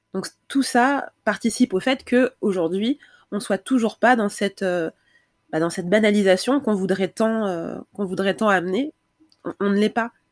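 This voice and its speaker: The recording is very clean, with a silent background and a dry, close sound with no echo. A woman speaks at medium pitch and a fairly slow pace with ordinary pitch variation. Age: 30s. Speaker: Instagram creator on breastfeeding. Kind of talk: casual chat. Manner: halting.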